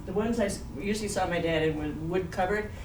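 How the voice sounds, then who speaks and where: There is noticeable background noise as a woman speaks. Audible room echo surrounds her voice. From Canada (Manitoba). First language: Swiss German. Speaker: professor. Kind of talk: lecture.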